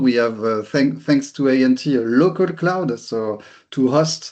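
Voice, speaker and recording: A man with a fairly high pitch talks at a very slow pace, his pitch rising and falling in an ordinary way. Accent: strong French. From France. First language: French. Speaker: company executive. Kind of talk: webinar presentation. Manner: halting, repeats words.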